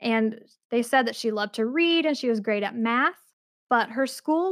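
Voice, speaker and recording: A woman with an American accent speaks at a fairly slow pace, her pitch high and her tone animated. Her intonation is lively, and the sound is dry and close with no echo. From Utah. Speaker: podcast co-host. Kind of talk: casual chat with history storytelling. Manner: animated, laughs often.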